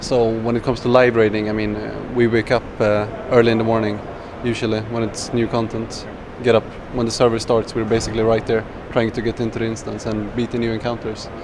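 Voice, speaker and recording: With a Swedish accent, a man speaks very fast at a medium pitch. His intonation is flat and monotone, over noticeable background noise. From Sweden. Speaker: professional gamer. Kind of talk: interview. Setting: gaming convention.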